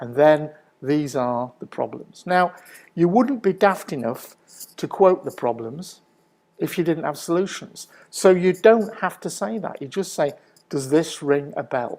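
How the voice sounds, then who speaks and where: With lively intonation, a man speaks fairly slowly at a high pitch. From northern England, Manchester. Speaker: business consultant. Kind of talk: presentation talk.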